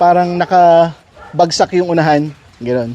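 Noticeable background noise sits behind the speaker. He is a man with a high voice. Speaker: dog breeder. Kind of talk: casual vlog narration while handling dogs. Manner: commands to dogs, short bursts.

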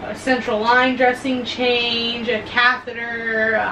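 Against noticeable background noise, a woman speaks at a very slow pace in a monotone, flat delivery. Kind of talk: casual vlog chat. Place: home room. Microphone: camera far.

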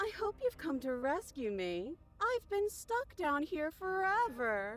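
A female-sounding put-on character voice, extremely high in pitch with very wide pitch swings, at a fairly slow pace over light background noise. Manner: mocking, taunting.

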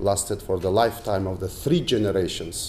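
Over light background noise, a man with a Mongolian accent talks in a dark, mellow tone with ordinary pitch variation. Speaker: politician and economist. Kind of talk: lecture. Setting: stage with audience. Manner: formal. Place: hall. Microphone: podium.

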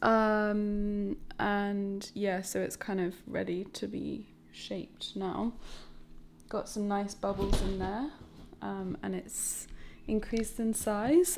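With music playing in the background, a woman talks at a very slow pace, broken by long, frequent pauses. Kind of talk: casual vlog chat. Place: kitchen. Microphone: phone near.

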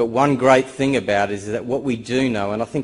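There is ordinary pitch variation in this man's voice. He talks at a moderate pace. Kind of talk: conference presentation. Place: hall. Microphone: podium.

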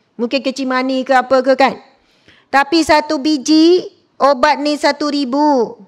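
Loud and high-pitched, a woman speaks at a fairly slow pace on a very clean recording with a silent background. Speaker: religious teacher. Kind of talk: sermon. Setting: mosque lecture with live audience. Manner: loud, high-pitched; animated.

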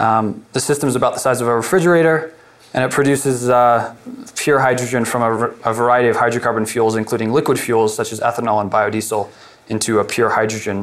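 With an American accent, a man speaks at a fairly quick pace and with fairly even intonation. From Colorado, US. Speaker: alternative energy entrepreneur; presenter. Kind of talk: workshop presentation. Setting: workshop room with audience. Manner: halting, many fillers. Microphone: lapel.

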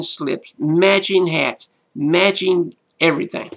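The tone is bright and sharp, with a very slow pace. The background is quiet. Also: man. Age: 60s. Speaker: pastor. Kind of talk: motivational talk. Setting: solo video to camera. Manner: animated. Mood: warm, amused storytelling. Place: home room. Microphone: webcam.

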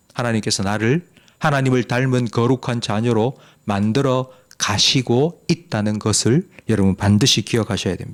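At a moderate pace, a plain, everyday voice with ordinary pitch variation comes through in a dry, close sound with no echo. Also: man. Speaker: pastor. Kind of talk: sermon.

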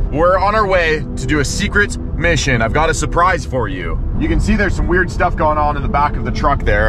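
A man at a fairly quick pace, dry sound with no echo, and noticeable background noise. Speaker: fishing vlogger. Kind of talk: casual vlog chat. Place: car. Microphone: phone near.

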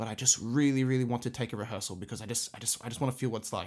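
A medium-pitched man with an Australian accent, recorded very cleanly against total silence. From Australia, Sydney. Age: 20s. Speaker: music teacher and orchestra conductor. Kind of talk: solo podcast monologue. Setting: home music room, condenser mic. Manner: casual, hesitant with fillers.

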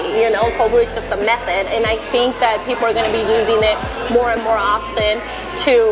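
Over clear background music, a woman talks at a very fast pace. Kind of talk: interview answer. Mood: friendly, upbeat. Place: cafe. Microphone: lapel.

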